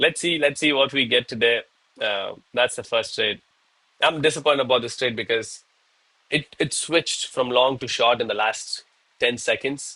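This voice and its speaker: Speaking at a moderate pace with long, frequent pauses, a man with a medium pitch talks in a Tamil Indian accent. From India, Chennai, Tamil Nadu. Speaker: live-streaming day trader. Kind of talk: live trading stream commentary. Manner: casual, animated.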